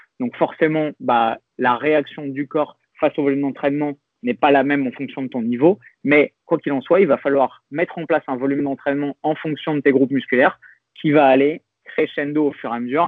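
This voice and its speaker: Here is an ordinary speaking voice from a man with a fairly high pitch. He moves at a fairly quick pace with ordinary pitch variation. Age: 30s. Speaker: fitness coach and youtuber. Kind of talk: interview conversation.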